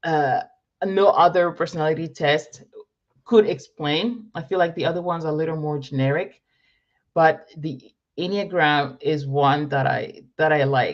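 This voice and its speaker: A woman with a very deep, low pitch, ordinary pitch variation, and a moderate pace. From Morocco. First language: French. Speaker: entrepreneur and business coach. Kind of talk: live Q&A. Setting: livestream. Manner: upbeat.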